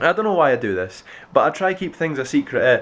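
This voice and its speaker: A man with a Scottish accent, at a fairly quick pace. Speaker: BMX vlogger. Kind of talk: casual vlog. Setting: outdoors. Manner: halting.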